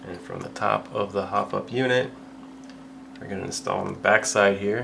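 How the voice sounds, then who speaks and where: A man mumbling at a moderate pace with big swings in loudness, over noticeable background noise. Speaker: airsoft hobbyist tutorial maker. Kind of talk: tutorial. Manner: casual.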